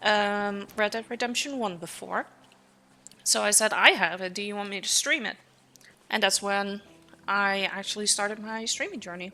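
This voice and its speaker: A bright, sharp tone comes with a Dutch accent and fairly even intonation. The moderate pace is broken by long, frequent pauses. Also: woman, medium pitch for a woman. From Netherlands. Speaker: streamer. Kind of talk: casual live-stream chat. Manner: hesitant with many fillers.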